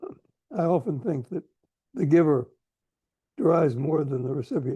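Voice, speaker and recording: At a moderate pace, a man with an American accent speaks at a fairly high pitch, his lively intonation paired with a dark, mellow tone. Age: 90s. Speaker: diplomat and philanthropist. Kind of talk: interview conversation. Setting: video call.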